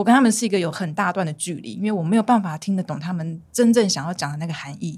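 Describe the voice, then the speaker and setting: Over a very clean recording with a silent background, a woman at medium pitch talks in a normal speaking voice with ordinary pitch variation. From Taiwan, Miaoli, Saisiyat village. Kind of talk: casual chat.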